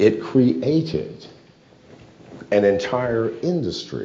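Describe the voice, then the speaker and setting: A man speaks with a fairly low pitch and vocal fry. Audible room echo surrounds his voice. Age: 70s. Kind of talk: speech on cryptocurrency. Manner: rhetorical questions, emphatic.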